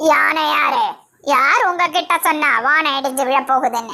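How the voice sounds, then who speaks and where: A woman's high-pitched, cartoonish character voice at a very slow pace. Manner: commanding, measured.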